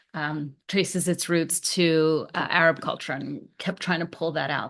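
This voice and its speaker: Monotone, flat delivery from a woman with a fairly low pitch, at a moderate pace against a quiet background. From Colombia (Cali), raised in US. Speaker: lawyer and politician. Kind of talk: casual chat.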